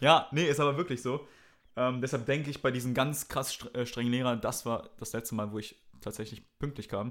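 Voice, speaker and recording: On a very clean recording with a silent background, a man with a plain, everyday voice at medium pitch speaks at a moderate pace with fairly even intonation. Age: young. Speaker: comedian. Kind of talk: casual chat.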